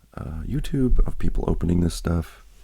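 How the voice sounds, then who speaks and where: This man's voice has a dark, mellow tone, is somewhat breathy, and moves at a moderate pace with lively intonation. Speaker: card collecting youtuber. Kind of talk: casual unboxing video. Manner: casual, many filler words.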